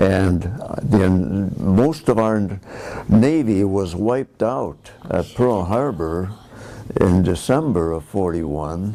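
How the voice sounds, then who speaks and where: With an American accent and lively intonation, a man speaks very slowly in a fairly low pitch amid noticeable background noise. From US Midwest, Milwaukee, Wisconsin. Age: 80s+. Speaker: war veteran. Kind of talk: oral history interview. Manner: halting, many fillers.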